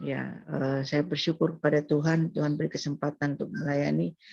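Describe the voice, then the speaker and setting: Her pace is moderate. This woman's pitch is very deep and low. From Madura, Indonesia. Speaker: pastor and missionary. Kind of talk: testimony. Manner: halting.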